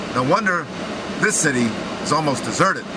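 A man speaks at a moderate pace while loud noise fills the background. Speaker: sports commentator. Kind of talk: commentary. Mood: indignant, critical. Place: car. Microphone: phone near.

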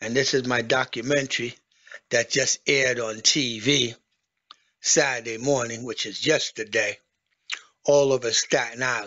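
Against a quiet background, the speech comes at a fairly slow pace in a flat monotone, broken by long, frequent pauses. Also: man, medium pitch for a man. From Haiti. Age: 50s. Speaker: vlogger, military veteran; home vlogger. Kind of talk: casual video monologue, home tour. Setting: at home. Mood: aggrieved, ranting. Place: home room. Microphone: phone near.

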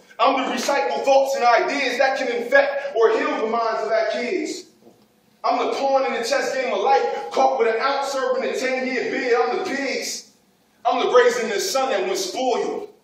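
Audible room echo carries a man's intense, extremely high voice at a moderate pace. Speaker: spoken word poet. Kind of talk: spoken word poetry performance. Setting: live audience. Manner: intense, rhythmic. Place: hall. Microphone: camera far.

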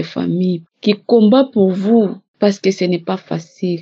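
A woman talks very slowly at a medium pitch, her intonation fairly even. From DR Congo. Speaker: testimony giver. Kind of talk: testimony.

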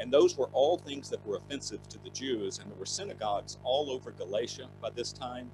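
A man's fairly quick speech plays against noticeable background noise. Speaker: bible teacher. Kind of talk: lecture.

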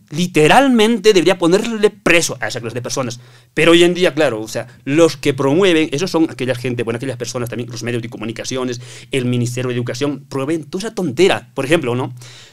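Here a man talks at a very fast pace in a fairly high pitch. His intonation is lively and his loudness swings a lot. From Bolivia, Oruro; Bolivia. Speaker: construction worker; podcast guest. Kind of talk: casual chat. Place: studio. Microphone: studio mic.

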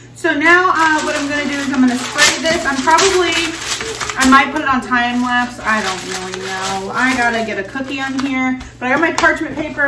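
High in pitch with a bright, sharp tone, a woman speaks at a moderate pace with ordinary pitch variation over faint background noise.

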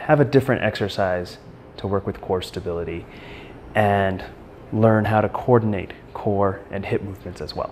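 Big swings in loudness and ordinary pitch variation, with long, frequent pauses, a moderate pace and light background noise. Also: man, fairly low pitch for a man. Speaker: fitness or therapy instructor. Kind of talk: tutorial.

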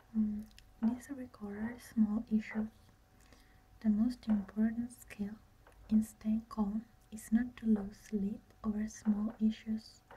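Whispering and soft-spoken, a woman speaks very slowly with long, frequent pauses and a somewhat breathy quality over light background noise. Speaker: ASMR creator. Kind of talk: ASMR relaxation reading. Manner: soft-spoken, whispered. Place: home room. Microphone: phone near.

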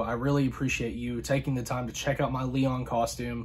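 This man's voice has a somewhat breathy quality. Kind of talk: casual vlog outro. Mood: warm, grateful. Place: home room.

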